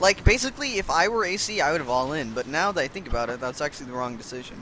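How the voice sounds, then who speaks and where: Noticeable background noise under a man's voice swinging very widely in pitch. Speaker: game caster. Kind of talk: live commentary. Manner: animated.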